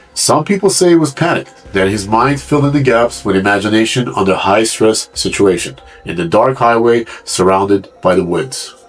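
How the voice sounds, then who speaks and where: A man's fairly low voice with very wide pitch swings, a moderate pace, hardly any pauses and music in the background. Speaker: mystery narrator. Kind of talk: true mystery narration.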